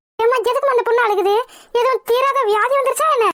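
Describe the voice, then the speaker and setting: An extremely high-pitched, squeaky cartoonish character voice from a woman, with fairly even intonation. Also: moderate pace. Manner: soothing, caring.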